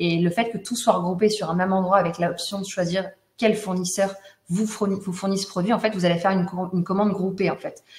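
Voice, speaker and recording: A woman speaks at a medium pitch and a fairly quick pace, somewhat breathy, with monotone, flat intonation. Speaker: honey business owner giving customer testimonial. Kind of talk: testimony in a webinar. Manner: fast.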